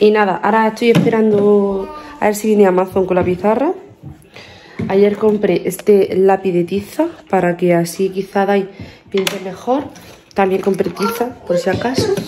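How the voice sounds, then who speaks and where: A woman speaks at a moderate pace with fairly even intonation and long, frequent pauses. Light background noise is present. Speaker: family vlogger. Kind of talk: casual vlog chat. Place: home room. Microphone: phone near.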